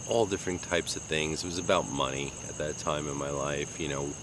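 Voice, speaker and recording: Speaking very fast with hardly any pauses, a man with a Long Island accent keeps a very deep, low pitch and fairly even intonation. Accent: New York (Long Island) American. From US Northeast, Long Island, New York. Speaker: vlogger. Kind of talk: casual monologue. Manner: halting, with many fillers.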